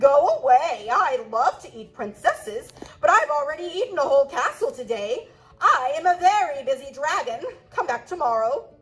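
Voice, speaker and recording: A woman's put-on character voice, high-pitched and at a moderate pace. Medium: read story.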